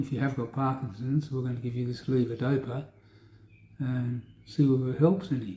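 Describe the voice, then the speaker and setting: Fairly quick, somewhat breathy speech with an Australian accent, a dark, mellow tone and fairly even intonation. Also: man. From South Australia. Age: 60s. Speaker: Parkinson's patient video diarist. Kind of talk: personal video diary. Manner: rambling, hesitant with fillers.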